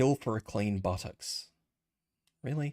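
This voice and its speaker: With an Australian accent, a man speaks at a moderate pace with ordinary pitch variation, his voice dry and close with no echo on a very clean recording with a silent background. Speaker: vtuber streamer. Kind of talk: casual livestream chat. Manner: whispering. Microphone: may be too quiet.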